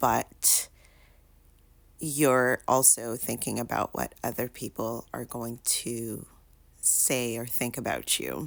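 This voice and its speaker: A soft-spoken woman at a very slow pace, with long, frequent pauses. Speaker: vlogger. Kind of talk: casual vlog monologue. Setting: in bedroom at home. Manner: soft-spoken, talking low; hesitant with many fillers.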